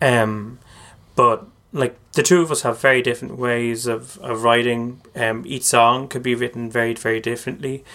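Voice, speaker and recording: In an Irish accent, a man at a medium pitch speaks with a bright, sharp tone, a moderate pace and fairly even intonation. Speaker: singer and composer. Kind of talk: casual chat. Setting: studio.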